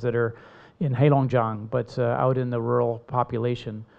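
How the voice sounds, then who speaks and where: This man has an American accent and a medium-pitched voice. He speaks at a moderate pace with a monotone, flat intonation. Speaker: panelist, agriculture expert. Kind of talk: panel discussion. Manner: halting.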